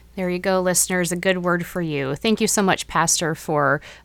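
In a very clean recording with a silent background, a woman with a normal speaking voice talks at a fairly quick pace and medium pitch. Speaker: podcast host. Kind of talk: interview.

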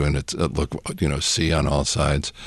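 A man with a very deep, low pitch and vocal fry talks at a moderate pace with fairly even intonation. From New England, with teen years in Mexico and Spain. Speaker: seminary professor and pastor. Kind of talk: casual interview. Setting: studio.

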